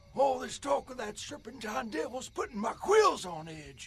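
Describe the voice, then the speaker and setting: Using a put-on character voice, a man speaks high and raspy. His pace is moderate. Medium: short film.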